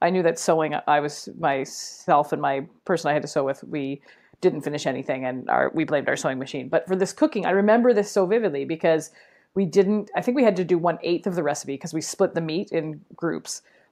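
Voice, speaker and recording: Her pitch fairly low, a woman speaks at a fairly quick pace with lively intonation. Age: 40s. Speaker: educator and podcaster. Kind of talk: casual chat. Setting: podcast recording. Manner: animated.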